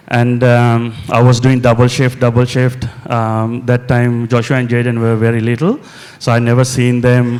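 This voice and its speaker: With a Sri Lankan accent, a man speaks at a medium pitch in a flat monotone with very even loudness. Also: moderate pace. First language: Sinhala. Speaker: mental health nurse and property investor. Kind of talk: on-stage interview. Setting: conference stage with audience. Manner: halting, many fillers.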